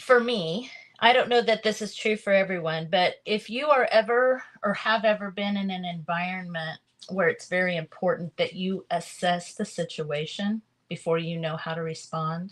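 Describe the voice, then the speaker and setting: Ordinary pitch variation marks a woman's medium-pitched voice. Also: moderate pace. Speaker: crafting livestream host. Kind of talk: casual livestream chat with testimony. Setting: live video stream. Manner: halting, with fillers and repeats.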